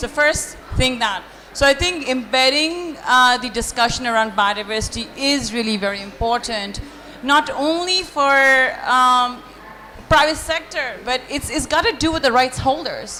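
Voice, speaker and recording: A woman's high-pitched, raised, projected voice at a moderate pace, with ordinary pitch variation, audible room echo and noticeable background noise. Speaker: panelist. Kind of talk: panel discussion. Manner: loud.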